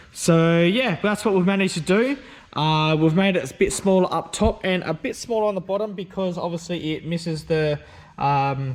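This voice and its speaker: With an Australian accent, a man talks at a moderate pace in a high pitch with ordinary pitch variation. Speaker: car and stereo vlogger. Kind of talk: casual video vlog. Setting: workshop. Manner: loud; hesitant, many fillers.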